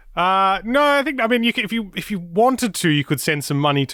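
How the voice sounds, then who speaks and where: A man with a slight Australian accent talks at a very fast pace. His pitch swings very widely. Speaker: motorsport podcast presenter. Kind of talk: casual chat.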